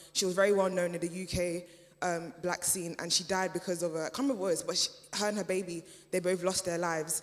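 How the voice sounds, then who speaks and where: Over noticeable background noise, the words come at a very fast pace. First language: German. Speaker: panel speaker at community event. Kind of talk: panel discussion. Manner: halting, many fillers.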